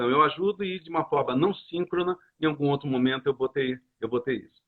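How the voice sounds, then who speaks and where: A man speaks in a plain, everyday voice, fairly high-pitched and fairly quick, with ordinary pitch variation. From Brazil, Rio de Janeiro. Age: 60s. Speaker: coach and association founder. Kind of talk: interview. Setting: live stream.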